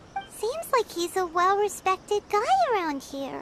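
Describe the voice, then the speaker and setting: In a put-on character voice, the speaker squeaks at an extremely high pitch over clear background noise. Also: moderate pace. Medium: video game. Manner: chirpy, energetic.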